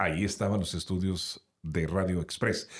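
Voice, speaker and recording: A man speaks at a fairly slow pace with vocal fry. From Sonora, Mexico. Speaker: radio announcer. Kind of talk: interview answer.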